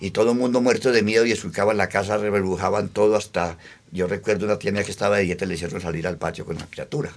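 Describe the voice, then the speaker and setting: A man's fairly low voice at a very fast pace, with fairly even intonation, on a very clean recording with a silent background. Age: 70s. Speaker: elderly local witness. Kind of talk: oral history testimony.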